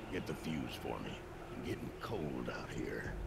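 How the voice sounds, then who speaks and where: In a put-on character voice, a man whispers against loud background noise. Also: moderate pace. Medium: game stream. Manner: curt, gruff.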